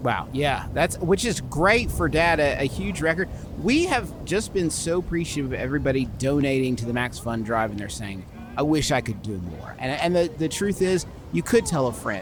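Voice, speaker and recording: A man speaks at a fairly high pitch and a moderate pace, his pitch swinging very widely. Noticeable background noise sits behind him. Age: 40s. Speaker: podcast host. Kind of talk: comedic improv bit. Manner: animated.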